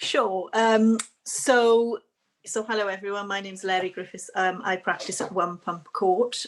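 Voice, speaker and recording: A woman with a Welsh accent talks at a moderate pace with fairly even intonation in a very clean recording with a silent background. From Wales. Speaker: barrister. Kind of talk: panel discussion.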